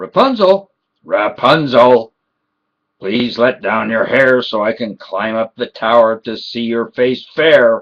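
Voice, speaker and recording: A man's put-on character voice, shrill, raspy and croaky, at medium pitch and a fairly slow pace. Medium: read story. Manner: menacing.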